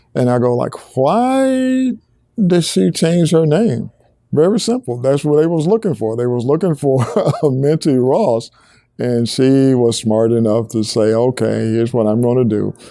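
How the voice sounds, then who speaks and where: On a very clean recording with a silent background, a man with a Southern US accent speaks at a moderate pace in a dark, mellow tone with lively intonation. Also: medium pitch for a man. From Alabama. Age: 70s. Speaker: museum founder. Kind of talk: interview answer.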